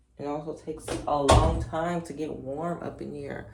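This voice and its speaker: A woman speaks in a relaxed tone. Audible room echo and noticeable background noise fill the recording. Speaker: lifestyle vlogger. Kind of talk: casual vlog chat. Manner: relaxed, conversational.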